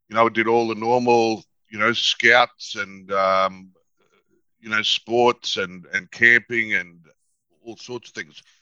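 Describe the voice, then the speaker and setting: In a dry, close recording with no echo, a man with an Australian accent speaks at a very slow pace and medium pitch, monotone and flat, in a bright, sharp tone with big swings in loudness and long, frequent pauses. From North Queensland, Australia. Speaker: psychologist and negotiator. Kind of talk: interview.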